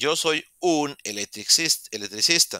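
A man speaks with very wide pitch swings and a bright, sharp tone. The sound is dry and close, with no echo. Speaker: English teacher. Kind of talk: online class lecture. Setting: video call.

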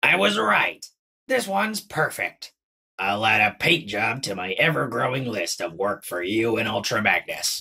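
At a moderate pace, a raspy man talks at a medium pitch. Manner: tired, gloomy, dry.

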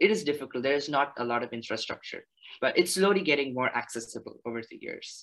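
Speaking very fast at a fairly high pitch, a man uses lively intonation and big swings in loudness against a quiet background. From India, Chennai; India. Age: 20s. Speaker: naturalist and graduate student; presenter. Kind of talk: presentation. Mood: enthusiastic, friendly. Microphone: video call.

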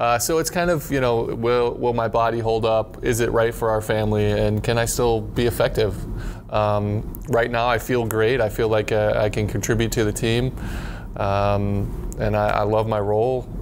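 There is light background noise as a man speaks at a moderate pace with very even loudness. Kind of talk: interview answer. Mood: reflective, relaxed. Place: studio. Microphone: lapel.

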